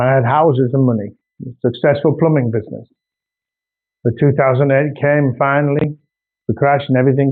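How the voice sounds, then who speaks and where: A man with a North Yorkshire accent speaks at a fairly high pitch with fairly even intonation. His loudness stays very even, and he takes long, frequent pauses. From northern England, North Yorkshire. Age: 60s. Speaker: artist. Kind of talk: casual video monologue.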